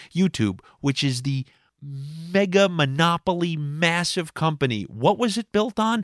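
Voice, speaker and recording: On a very clean recording with a silent background, a man in an animated tone speaks at a fairly high pitch, the sound dry and close with no echo. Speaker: podcast host. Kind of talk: comedic monologue. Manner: loud.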